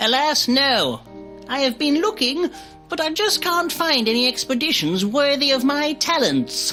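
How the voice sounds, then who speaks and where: Over clear background music, the speaker uses a put-on character voice at a moderate pace. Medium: machinima. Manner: pompous, dry.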